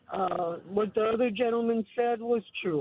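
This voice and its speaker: Her pitch is fairly high. The woman's voice shows ordinary pitch variation. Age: 80s+. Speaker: caller. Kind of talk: call-in opinion.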